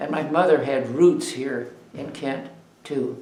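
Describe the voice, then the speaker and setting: Over noticeable background noise and audible room echo, a man with an American accent talks at a moderate pace with fairly even intonation. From Ohio, US Midwest. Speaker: oral history interviewee. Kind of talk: oral history interview. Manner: halting.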